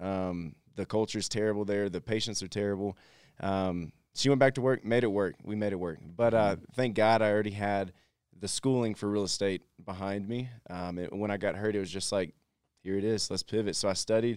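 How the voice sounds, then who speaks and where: A man with an American accent, fairly low pitch, fairly even intonation and a fairly quick pace, on a very clean recording with a silent background. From Texas. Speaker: entrepreneur. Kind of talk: interview.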